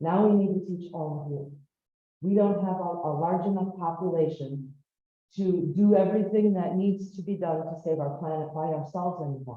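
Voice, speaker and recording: A woman with an American accent speaks at a fairly low pitch and a moderate pace, with fairly even intonation. Audible room echo surrounds her voice. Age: 50s. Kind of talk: lecture-style talk to an audience.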